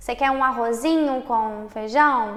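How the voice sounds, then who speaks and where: A woman speaks with a Minas Gerais accent. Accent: Minas Gerais Brazilian. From Minas Gerais, Brazil. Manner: sing-song lilt.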